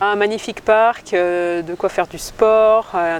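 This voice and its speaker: A woman's intonation stays fairly even while noticeable background noise runs underneath. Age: 30s. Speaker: teacher. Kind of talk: interview.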